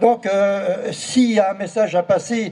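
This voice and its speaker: This man speaks with fairly even intonation. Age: 70s. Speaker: artist, former art fair president. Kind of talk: speech at artists' meeting.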